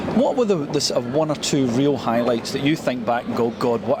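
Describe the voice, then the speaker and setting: A man with a Scottish accent talks at a fairly quick pace and a medium pitch. His pitch varies in an ordinary way, and there is noticeable background noise. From Scotland. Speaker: interviewer. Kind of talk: casual interview. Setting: outdoors.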